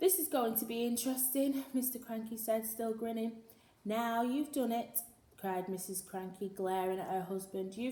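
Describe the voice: It is plain reading aloud. The pitch varies in an ordinary way.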